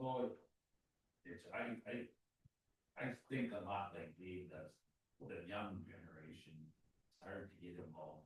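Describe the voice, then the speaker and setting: Long, frequent pauses break up a man's fairly slow speech in an American accent. His voice is very deep and low, and somewhat breathy. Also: ordinary pitch variation, big swings in loudness. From northern Wisconsin. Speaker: farmer and county committee member. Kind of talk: committee meeting introductions.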